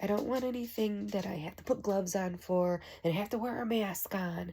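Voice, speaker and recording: A woman speaks quietly at medium pitch. Her pitch variation is ordinary. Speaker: home product reviewer. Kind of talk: casual product review.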